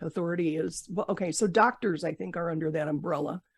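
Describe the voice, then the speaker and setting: A normal speaking voice with fairly even intonation comes through a dry, close sound with no echo. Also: woman. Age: 60s. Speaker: podcast host, breast cancer survivor. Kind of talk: interview podcast.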